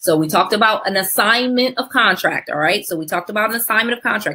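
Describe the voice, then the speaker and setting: In an American accent, a woman talks with a fairly high pitch, a bright, sharp tone and lively, animated intonation. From US Northeast, Connecticut. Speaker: real estate investing educator. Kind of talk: webinar presentation. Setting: online webinar. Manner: fast.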